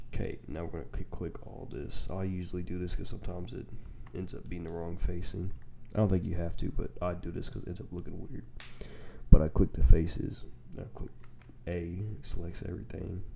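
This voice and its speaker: A man's very deep, low voice with vocal fry, a dark, mellow tone, fairly even intonation and big swings in loudness. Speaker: game developer tutorial creator. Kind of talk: tutorial. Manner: slow; heavy breathing audible.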